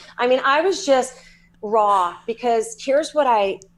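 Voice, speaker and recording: With lively intonation, a woman speaks in a Southern US accent. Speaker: psychic medium and energy healer. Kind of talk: podcast interview. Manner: animated.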